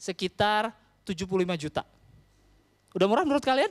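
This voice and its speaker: Here a man talks at a very fast pace. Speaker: stand-up comedian. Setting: stage with audience. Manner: casual Jakarta-style slang, conversational and quick. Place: stage. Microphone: handheld.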